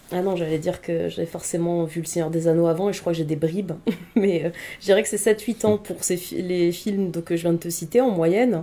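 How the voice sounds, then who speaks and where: Talking at a fairly quick pace, a woman uses a fairly low voice with a dark, mellow tone and fairly even intonation. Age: 30s. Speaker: film columnist. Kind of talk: casual interview. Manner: hesitant, many fillers.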